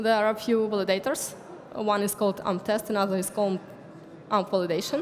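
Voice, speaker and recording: A woman's fairly high voice at a fairly quick pace, with noticeable background noise behind it. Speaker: conference speaker. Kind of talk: lecture.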